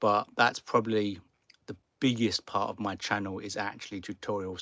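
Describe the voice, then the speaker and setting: At a moderate pace, a man with a British accent talks in a fairly low, monotone voice with flat intonation. The sound is dry and close with no echo, and the recording is very clean over a silent background. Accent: noticeable British accent, easy to follow. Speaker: car camping YouTuber. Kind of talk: live stream Q&A. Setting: sitting in garage. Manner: casual, some repetitions and hesitations.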